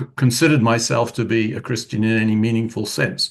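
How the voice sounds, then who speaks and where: A man's medium-pitched voice in a British accent at a moderate pace. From United Kingdom. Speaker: retired physics professor, author. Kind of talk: interview. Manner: thoughtful, with fillers.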